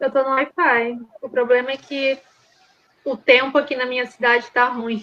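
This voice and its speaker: The tone is bright and sharp. Delivery is monotone and flat, at a moderate pace. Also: woman, high pitch for a woman. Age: 20s. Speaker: interview guest with a personality disorder diagnosis. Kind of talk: interview. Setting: remote video call. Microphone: unstable internet connection, audio drops.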